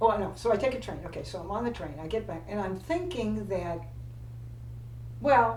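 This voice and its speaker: A woman speaks at a moderate pace, with long, frequent pauses and big swings in loudness. Audible room echo and noticeable background noise fill the recording. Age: 80s+. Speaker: retired flight attendant. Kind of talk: casual chat. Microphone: poor sound quality.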